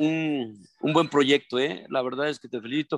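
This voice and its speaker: The sound is dry and close, without any echo. A man talks at a fairly high pitch. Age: 20s. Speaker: triathlon coach and athlete. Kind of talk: casual chat. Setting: video call. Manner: halting.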